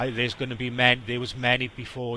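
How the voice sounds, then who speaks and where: A man speaks with a strong Welsh accent at a fairly quick pace. His tone is bright and sharp. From South Wales. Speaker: scam baiter. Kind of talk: phone call advice to scam victim.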